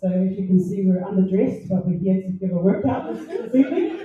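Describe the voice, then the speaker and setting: Somewhat breathy, a woman speaks in a dark, mellow tone with lively intonation. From New Zealand, Porirua. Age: young. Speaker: fitness instructor. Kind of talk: formal introduction speech. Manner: halting.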